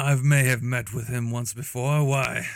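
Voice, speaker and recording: A man puts on a character voice at a medium pitch. He keeps a moderate pace and a monotone, flat intonation. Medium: actual play. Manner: cold, measured, formal.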